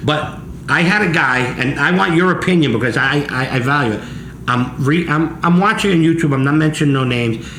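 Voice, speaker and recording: A man with a New Jersey accent talks at a fairly quick pace and a fairly high pitch, with ordinary pitch variation and very even loudness, amid audible room echo and noticeable background noise. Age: 60s. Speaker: pizza chef and show host. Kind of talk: casual interview chat. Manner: animated.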